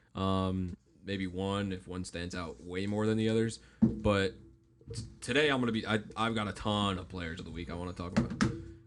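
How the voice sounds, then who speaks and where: A man with an American accent, a very deep, low pitch and ordinary pitch variation, over noticeable background noise. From Chicago area, Illinois. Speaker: sports talk show host. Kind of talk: sports talk radio chat. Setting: studio with live stream cameras. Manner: moderate pace, not fast.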